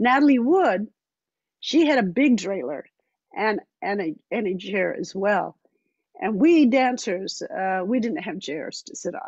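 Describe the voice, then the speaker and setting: A woman speaks with a General American accent and a fairly high pitch. Her pitch swings very widely, and she takes long, frequent pauses. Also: fairly slow pace. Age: 80s+. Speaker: dancer and author. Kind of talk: talk with audience. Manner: halting.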